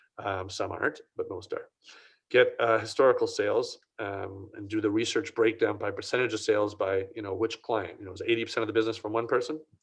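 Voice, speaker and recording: Over a quiet background, a man talks at a fairly quick pace with big swings in loudness. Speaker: print industry consultant. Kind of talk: Q&A answer; webinar presentation. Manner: fast.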